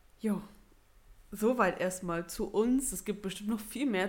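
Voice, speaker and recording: A normal speaking voice at a moderate pace. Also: woman. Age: 20s. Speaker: podcast co-host. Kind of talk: casual chat.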